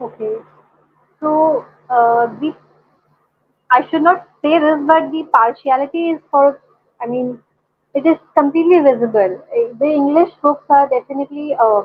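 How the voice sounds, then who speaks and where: Speaking at a moderate pace with long, frequent pauses, a woman uses a high pitch and ordinary pitch variation. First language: Hindi. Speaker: caller. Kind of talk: casual chat. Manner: halting.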